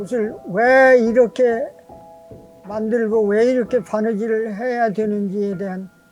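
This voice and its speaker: The talking is very slow, with music in the background. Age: 80s+. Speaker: tailor. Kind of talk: interview answer.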